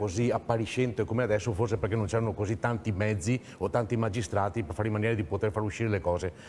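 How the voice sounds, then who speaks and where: Noticeable background noise sits under a man speaking at a very fast pace. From Veneto, Italy. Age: 60s. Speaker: regional political activist. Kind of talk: TV talk show discussion.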